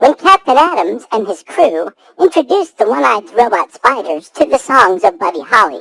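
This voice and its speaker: A female-sounding, put-on character voice at fairly high pitch swings very widely in pitch at a moderate pace. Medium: audio drama.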